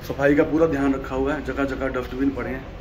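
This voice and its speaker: A man's intonation stays fairly even as noticeable background noise carries on behind him. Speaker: travel vlogger. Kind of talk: casual vlog chat. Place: boat. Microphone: phone near.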